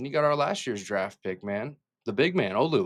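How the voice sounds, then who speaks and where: A man speaks very fast with a fairly high pitch and a bright, sharp tone, his pitch swinging very widely. The recording is very clean, with a silent background. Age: 30s. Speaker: sports fan podcaster. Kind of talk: casual sports commentary vlog. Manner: animated.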